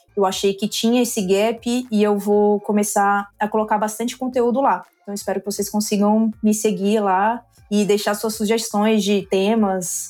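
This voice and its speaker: The woman's delivery stays monotone and flat in intonation, with very even loudness throughout. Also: medium pitch for a woman, moderate pace. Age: 30s. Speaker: finance executive. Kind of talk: podcast interview.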